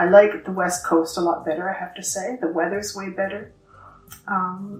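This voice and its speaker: Music plays behind a woman speaking in a flat monotone. Her loudness swings widely. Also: medium pitch for a woman, moderate pace. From Ontario, Canada. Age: 60s. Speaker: knitting group co-founder. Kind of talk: interview.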